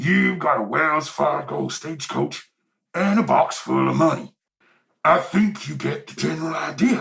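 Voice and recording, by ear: Using a put-on character voice, a man talks at a fairly high pitch with a fairly bright tone and vocal fry. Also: ordinary pitch variation, fairly slow pace.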